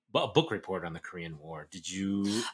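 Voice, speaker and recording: Speaking at a fairly quick pace, a man comes through in a very clean recording with a silent background. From US South. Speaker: podcast co-host. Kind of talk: casual chat.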